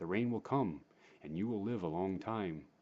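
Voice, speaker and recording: This man uses a put-on character voice. It sits at a fairly low pitch. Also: moderate pace. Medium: read story. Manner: calm, knowing.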